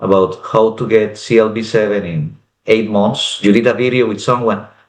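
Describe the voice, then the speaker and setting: A man is speaking. He has a Spanish accent. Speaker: French exam candidate. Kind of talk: interview.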